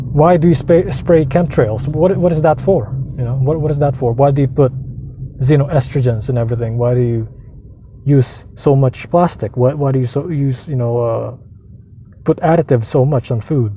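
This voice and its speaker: A man speaks at a moderate pace in a medium pitch, his dark, mellow tone somewhat breathy, with ordinary pitch variation. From Philippines. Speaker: vlogger. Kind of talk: casual rant monologue. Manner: animated, repetitive restarts.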